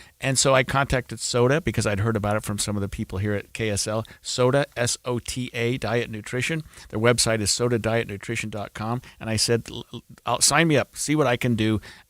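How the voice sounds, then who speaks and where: A normal speaking voice from a man, medium in pitch, fairly quick and fairly even in intonation, recorded very cleanly against a silent background with a dry, close sound with no echo. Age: 60s. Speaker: radio talk show host. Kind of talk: host-read ad; talk radio.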